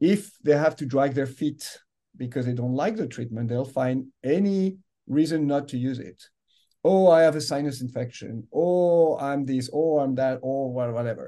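Moderate-paced speech from a man with a fairly high pitch, a dark, mellow tone and ordinary pitch variation, over a quiet background. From France. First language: French. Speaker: medical device executive. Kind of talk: interview.

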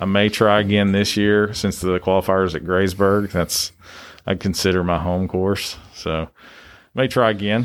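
In an East Tennessee accent, a man speaks at a fairly slow pace and a fairly low pitch. His intonation is monotone and flat, over a very clean recording with a silent background. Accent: Southern US (East Tennessee). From East Tennessee, US South. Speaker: gym coach and real estate agent. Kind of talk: casual chat. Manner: hesitant, many fillers.

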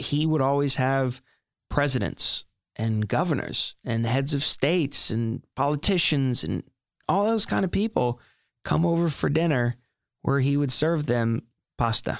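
A man with an American accent speaks in a normal speaking voice at a medium pitch and a fairly slow pace. His intonation is lively, on a very clean recording with a silent background. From US South, South Carolina. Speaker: author and entrepreneur. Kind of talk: interview conversation. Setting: studio.

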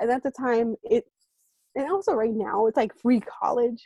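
Speaking at a moderate pace with a Californian accent, a woman has a fairly high pitch and a dark, mellow tone in a dry, close recording with no echo. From San Francisco Bay Area (East Bay). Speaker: education program worker. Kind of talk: interview. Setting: remote call.

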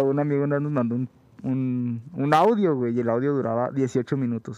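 At a moderate pace, a man speaks in a dark, mellow tone at a medium pitch with ordinary pitch variation. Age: 20s. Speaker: podcast co-host. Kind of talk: casual chat.

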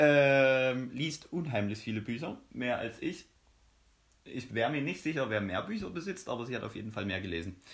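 Pitched at a medium level, a man's voice moves at a moderate pace. It is somewhat breathy, with lively intonation. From Saxony, eastern Germany. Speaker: podcast co-host, student. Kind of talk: casual chat.

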